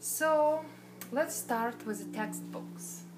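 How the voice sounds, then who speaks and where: Against light background noise, a woman speaks at a very slow pace. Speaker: botany instructor. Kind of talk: online class introduction lecture. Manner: casual, hesitant. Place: home room. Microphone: phone near.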